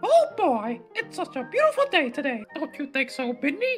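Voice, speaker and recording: A high-pitched put-on character voice moves at a moderate pace over clear music in the background. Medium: dub. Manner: upbeat.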